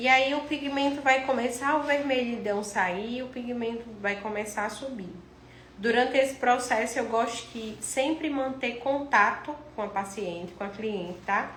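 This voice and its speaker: Speaking in a strong northeastern Brazilian accent, a woman uses a high pitch with ordinary variation at a fairly slow pace. Audible room echo and noticeable background noise fill the recording. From Northeast Brazil. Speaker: cosmetic tattoo artist and instructor. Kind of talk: live-stream tutorial. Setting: live stream. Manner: casual, chatty.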